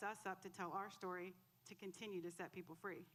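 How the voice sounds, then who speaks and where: A woman's loud voice, bright and sharp in tone, moves at a moderate pace. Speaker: church member giving testimony. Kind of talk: testimony. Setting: church. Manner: emotional.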